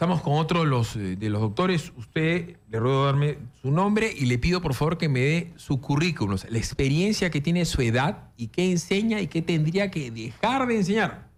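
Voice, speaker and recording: In a Peruvian accent, a man with a fairly high pitch talks at a moderate pace, his pitch swinging very widely and hardly any pauses breaking his speech. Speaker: radio host. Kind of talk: talk radio interview.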